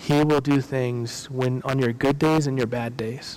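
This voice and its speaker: Speaking in an unremarkable speaking voice, a man keeps a medium pitch, fairly even intonation and a moderate pace. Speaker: pastor. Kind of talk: sermon. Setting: church.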